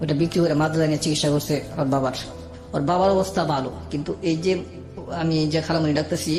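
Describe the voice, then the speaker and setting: Music plays in the background as a man speaks at a fairly high pitch with ordinary pitch variation. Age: 30s. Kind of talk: radio interview life story.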